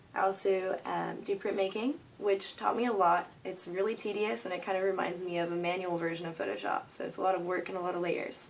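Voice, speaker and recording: In an American accent, a plain, everyday voice moves at a fairly quick pace with ordinary pitch variation and hardly any pauses. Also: woman, medium pitch for a woman. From US Northeast (New York). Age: 20s. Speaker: art student and body painter. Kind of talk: self-introduction video. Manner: frequent filler words.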